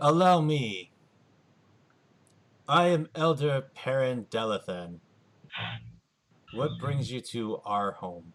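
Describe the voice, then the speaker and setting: Using a put-on character voice at a medium pitch, a man speaks at a very slow pace with very wide pitch swings and long, frequent pauses. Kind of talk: formal, courteous.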